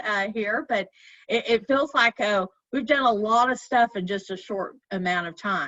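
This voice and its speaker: The speaker has a slight Arkansas accent. The pace is fairly slow. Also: woman. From Arkansas, Fort Smith. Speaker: chamber of commerce director. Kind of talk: presentation. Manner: halting, many fillers.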